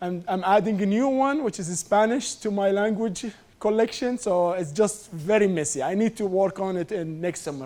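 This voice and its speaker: In a non-native accent, a man with a high pitch and a dark, mellow tone speaks at a moderate pace. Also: ordinary pitch variation. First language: not English. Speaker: food science professor. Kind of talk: lecture.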